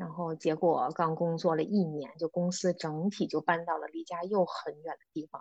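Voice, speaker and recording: A woman speaks at a fairly low pitch in a monotone, flat way. Her pace is moderate, with hardly any pauses. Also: dry, close sound with no echo. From China, Beijing. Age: 30s. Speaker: former office worker living abroad. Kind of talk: casual interview.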